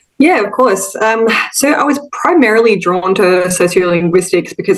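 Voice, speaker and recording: Over noticeable background noise, a woman talks with an Australian accent and lively intonation. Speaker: linguistics academic. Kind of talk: interview. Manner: hesitant, many fillers.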